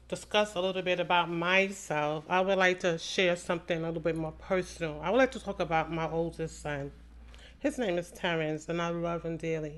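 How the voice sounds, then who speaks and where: A woman talks at a fairly quick pace in a plain, everyday voice. Her pitch is fairly low, with ordinary variation. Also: quiet background. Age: 60s. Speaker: podcast host. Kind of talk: personal testimony monologue.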